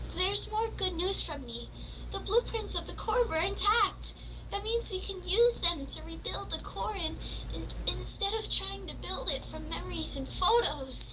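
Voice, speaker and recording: A cartoonish character voice speaks at a moderate pace over loud background noise. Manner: stammering, hesitant.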